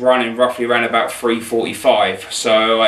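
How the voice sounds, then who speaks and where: Audible room echo carries a man's monotone, flat speech at a fairly slow pace. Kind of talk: casual product review.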